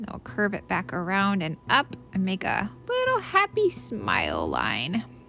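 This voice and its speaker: Music plays in the background as a woman speaks at a fairly slow pace. She takes hardly any pauses. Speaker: art teacher. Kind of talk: tutorial.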